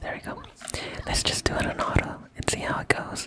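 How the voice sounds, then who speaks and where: Whispering at a moderate pace, the voice keeps a relaxed tone. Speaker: ASMR content creator. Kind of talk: ASMR gameplay commentary, casual talk. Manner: whispering, relaxed. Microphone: studio mic.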